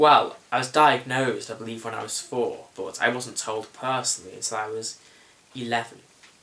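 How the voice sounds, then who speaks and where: Over noticeable background noise, a man talks at a moderate pace in monotone, flat intonation with big swings in loudness. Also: medium pitch for a man. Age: young. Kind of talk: interview answer.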